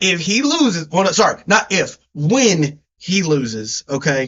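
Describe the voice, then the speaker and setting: In a strong Southern US accent, a man talks at a fairly slow pace with an animated tone. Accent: deep Southern US. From US South. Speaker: sports podcast co-host. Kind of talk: casual chat.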